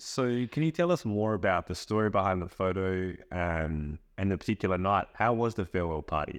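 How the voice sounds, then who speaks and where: With an Australian accent and a very deep, low pitch, a man talks at a moderate pace with hardly any pauses. The background is quiet. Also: ordinary pitch variation. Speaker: interviewer.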